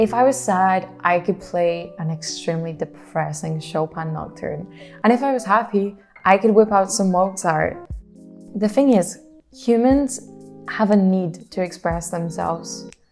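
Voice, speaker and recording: The voice moves at a fairly slow pace with ordinary pitch variation while music plays in the background. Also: woman, medium pitch for a woman. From Scotland. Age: 20s. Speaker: language student. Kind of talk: casual talk to camera.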